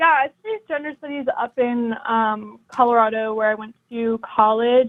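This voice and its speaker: A woman talks at a moderate pace with a fairly high pitch and fairly even intonation. Her loudness swings widely. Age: 20s. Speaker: caller. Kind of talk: call-in debate. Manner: halting, many fillers.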